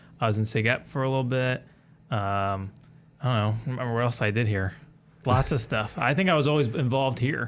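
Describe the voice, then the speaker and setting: At a fairly quick pace, a man speaks in an unremarkable speaking voice with very even loudness and ordinary pitch variation. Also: medium pitch for a man. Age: 20s. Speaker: videographer, alumni guest. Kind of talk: casual interview.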